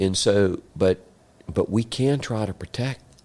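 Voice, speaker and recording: Using lively intonation, an ordinary speaking voice with an American accent proceeds at a fairly slow pace. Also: man. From Central Florida. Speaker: land broker and former state legislator. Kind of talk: interview conversation.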